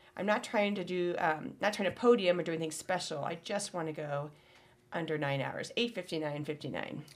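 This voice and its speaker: A woman talks with a Midwestern American accent. Her pitch varies in an ordinary way. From US Midwest. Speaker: podcast co-host. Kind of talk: casual chat. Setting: studio.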